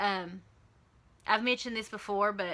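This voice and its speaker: A woman with a Southern US accent talks at a moderate pace in a fairly high pitch, her tone bright and sharp and her intonation fairly even. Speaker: vlogger. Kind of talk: casual vlog update.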